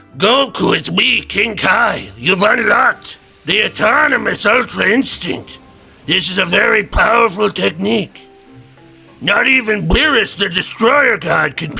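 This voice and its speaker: Over faint background music, a man puts on a character voice pitched high. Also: moderate pace. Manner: solemn, instructive.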